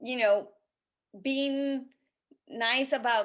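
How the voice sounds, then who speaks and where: A woman with a non-native accent and a bright, sharp tone, very slow pace, ordinary pitch variation, on a very clean recording with a silent background. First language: not English. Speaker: college admissions consultant. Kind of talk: interview conversation. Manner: halting.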